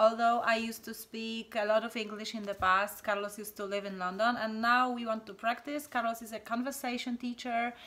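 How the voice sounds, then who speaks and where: A woman talks at a fairly quick pace with a Polish accent. Her tone is bright and sharp, and her loudness swings widely. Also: fairly high pitch for a woman. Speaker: channel host. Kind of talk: casual chat. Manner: animated.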